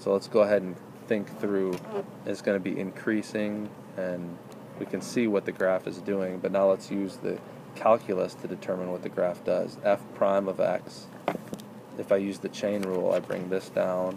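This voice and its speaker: There is noticeable background noise as a man speaks at a moderate pace. His pitch is fairly low and his intonation flat and monotone. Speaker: math tutor. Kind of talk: tutoring session.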